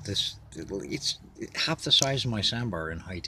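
Despite noticeable background noise, the dry sound has no echo as a man with a bright, sharp tone speaks at a fairly slow pace with lively intonation. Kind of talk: casual vlog chat. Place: car. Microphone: phone near.

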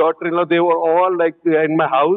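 A man speaks in a high voice over a quiet background. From India. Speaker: company CEO, entrepreneur; panelist. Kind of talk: panel discussion. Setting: conference stage with audience. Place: stage.

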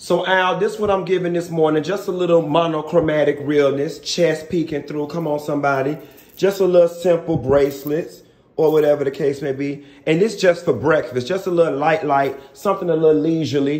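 The speech moves at a fairly quick pace. Audible room echo surrounds it. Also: man. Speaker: travel vlogger. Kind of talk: casual vlog chat. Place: bathroom. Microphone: phone near.

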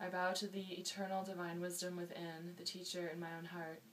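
Over light background noise, a woman talks in a gentle, warm tone at a medium pitch. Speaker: yoga and meditation teacher. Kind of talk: guided meditation. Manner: calm, slow, soothing, with long pauses; gentle, warm, instructional. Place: home room. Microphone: webcam.

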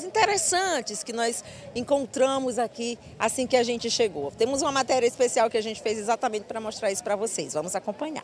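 With lively intonation, a woman speaks at a very fast pace in a dry sound with no echo, over light background noise. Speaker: field reporter. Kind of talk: live news report. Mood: cheerful, upbeat. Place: open country. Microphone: handheld.

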